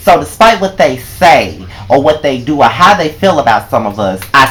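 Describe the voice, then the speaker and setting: Noticeable background noise surrounds a man speaking with a Southern US accent. His tone is animated, with very wide pitch swings. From Mississippi. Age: 20s. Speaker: vlogger. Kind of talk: personal vlog monologue.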